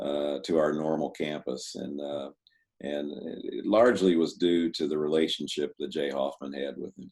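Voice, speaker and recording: A man's very deep, low voice at a moderate pace, fairly even intonation, with big swings in loudness. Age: 60s. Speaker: retired university president. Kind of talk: casual chat. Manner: halting, many fillers.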